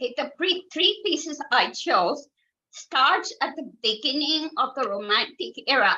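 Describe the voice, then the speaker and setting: Raising and projecting her voice, a woman speaks at a high pitch with a bright, sharp tone, very wide pitch swings and a fairly slow pace. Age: 60s. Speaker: concert pianist and piano teacher. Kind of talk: interview.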